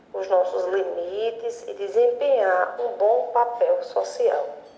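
Audible room echo around a woman speaking at a very slow pace. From Juazeiro do Norte, Ceará, Brazil. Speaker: university professor. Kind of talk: recorded statement.

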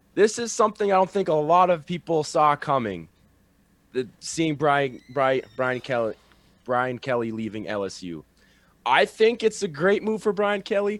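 The speech moves at a fairly slow pace with very wide pitch swings, in a very clean recording over a silent background. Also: man, fairly high pitch for a man. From North Dakota. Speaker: sports podcast host. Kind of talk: casual chat.

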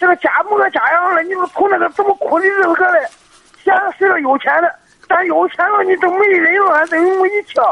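A man at a fairly quick pace. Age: 40s. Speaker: caller, small business owner. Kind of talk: phone-in advice call. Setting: phone call. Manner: halting.

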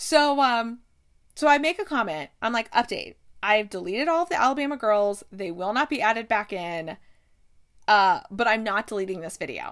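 A woman with an American accent speaks at a moderate pace, her fairly high voice animated with very wide pitch swings. The recording is very clean with a silent background. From US Midwest, Ohio. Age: 30s. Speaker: podcast host. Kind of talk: casual solo podcast storytelling. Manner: animated, frequent laughter.

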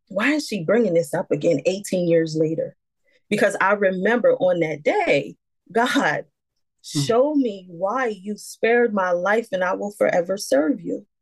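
A woman with an unremarkable speaking voice talks at a medium pitch. Her pace is fairly slow, and her intonation is lively. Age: 40s. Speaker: nurse and domestic violence survivor. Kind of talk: testimony.

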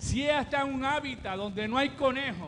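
With audible room echo, a man speaks at an extremely high pitch with ordinary pitch variation. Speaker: pastor. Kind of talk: sermon. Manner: halting.

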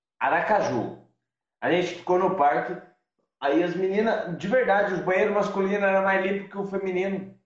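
A man with a high pitch speaks at a moderate pace. His intonation is fairly even, and the room echo is audible. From interior of São Paulo state, Brazil. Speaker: van-life traveler. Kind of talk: casual interview. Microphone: unstable internet connection.

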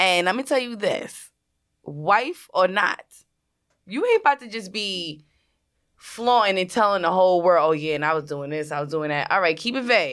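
A woman's medium-pitched, animated voice with lively intonation at a moderate pace, in a very clean recording with a silent background. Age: 20s. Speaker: podcast co-host, makeup artist. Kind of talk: casual chat.

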